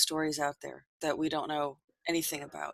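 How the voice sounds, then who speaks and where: A woman talks quietly at a fairly quick pace. Her pitch is fairly low. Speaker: podcast host. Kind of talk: casual interview chat.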